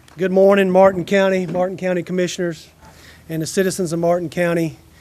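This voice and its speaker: Flat, monotone male speech at a high pitch and a very fast pace. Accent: strong Georgia. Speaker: retired military officer. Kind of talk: ceremony speech.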